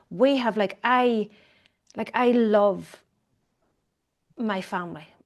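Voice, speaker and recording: A woman with an Irish accent speaks at a very slow pace, fairly high in pitch with ordinary pitch variation. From Ireland. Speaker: economist and commentator. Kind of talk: interview conversation. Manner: hesitant, with fillers.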